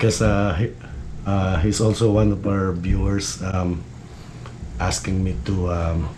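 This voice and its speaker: A man with a Filipino accent speaks very slowly, in a very deep, low pitch with fairly even intonation. Room echo is audible, and background noise is noticeable. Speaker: fishing YouTuber. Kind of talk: tutorial. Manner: halting, many fillers.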